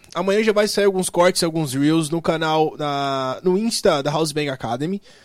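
Here is a man with an unremarkable speaking voice and a fairly high pitch. He talks at a fairly slow pace with ordinary pitch variation. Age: 20s. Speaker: podcast host. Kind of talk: casual chat. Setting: studio.

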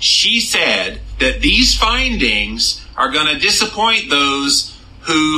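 Over noticeable background noise, a man speaks at a very slow pace with very wide pitch swings. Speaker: podcast host. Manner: animated, fired up, scornful; talkative, conversational.

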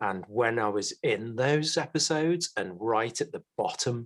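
Speaking very slowly with a British accent, a man uses lively intonation at a medium pitch. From UK. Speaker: podcast co-host and mental health educator. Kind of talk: casual chat, podcast conversation.

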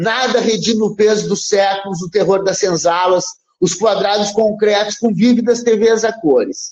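With a dramatic, energetic tone, a man speaks at a high pitch and a fairly slow pace. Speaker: poet and university professor. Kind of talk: poetry reading, declaimed verse. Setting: radio studio. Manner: dramatic, energetic, emphatic delivery; measured, rhythmic cadence.

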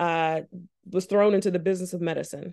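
A woman with a plain, everyday voice speaks at medium pitch with fairly even intonation over a quiet background. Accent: American. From Charleston, South Carolina. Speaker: family physician. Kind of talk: interview.

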